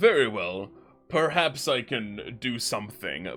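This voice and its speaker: Using a put-on character voice, a man of medium pitch speaks at a fairly slow pace. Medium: actual play. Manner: grandiose, haughty.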